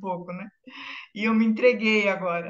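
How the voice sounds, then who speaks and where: A woman speaks at a fairly high pitch in an ordinary speaking voice. Her pace is fairly slow and her intonation fairly even. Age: 60s. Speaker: clinical psychologist. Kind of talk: panel self-introduction.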